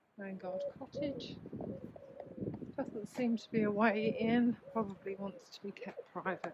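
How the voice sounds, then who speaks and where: Against noticeable background noise, the speaker goes at a fairly slow pace with long, frequent pauses. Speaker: walking tour vlogger. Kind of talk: guided walk narration. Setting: outdoors, walking along the beach.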